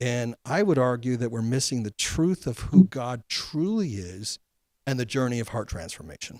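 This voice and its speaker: A man speaks in an unremarkable speaking voice at medium pitch, with lively intonation. The recording is very clean, with a silent background and a dry, close sound with no echo. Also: moderate pace. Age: 60s. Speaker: podcast host. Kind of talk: interview conversation.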